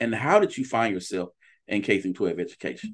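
A man talks at a fairly quick pace with a fairly low pitch. His voice makes big pitch swings.

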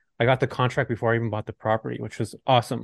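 A man with an American accent at medium pitch and a very fast pace, in a dry, close sound with no echo. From Southern California. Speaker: real estate investor and YouTuber. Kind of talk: casual interview chat.

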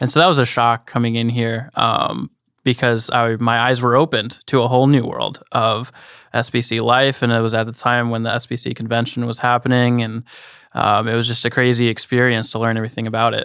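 The recording is very clean, with a silent background. A man speaks in a flat monotone. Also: medium pitch for a man, fairly quick pace. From Chicago, Illinois; also Honduras. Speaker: policy intern. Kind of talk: casual chat.

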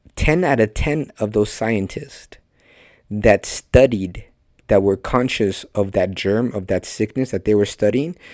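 A man speaks in a fairly low pitch with a Spanish accent. His pace is fairly slow. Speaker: podcast host and preacher. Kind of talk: sermon. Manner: animated.

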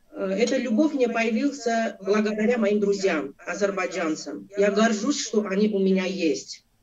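Moderate pace and ordinary pitch variation from a woman pitched fairly high. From Armenia, Abovyan. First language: Armenian (speaking Russian). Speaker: interview guest. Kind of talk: interview.

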